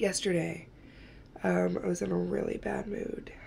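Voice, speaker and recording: Background noise is noticeable here. Over it, a woman talks. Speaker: lifestyle vlogger. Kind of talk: casual vlog talk to camera. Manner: casual with many fillers.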